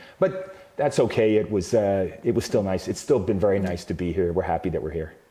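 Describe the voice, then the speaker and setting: A man's fairly low voice at a fairly quick pace, ordinary pitch variation, noticeable background noise. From Canada. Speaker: company CEO. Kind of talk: interview. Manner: hesitant with many fillers.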